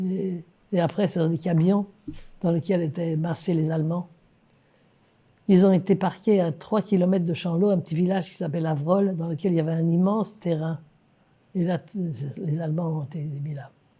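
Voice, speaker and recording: A woman with a dark, mellow, somewhat breathy tone and fairly low pitch speaks at a moderate pace with fairly even intonation and long, frequent pauses. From France. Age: 80s+. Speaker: Holocaust survivor. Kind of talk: interview answer.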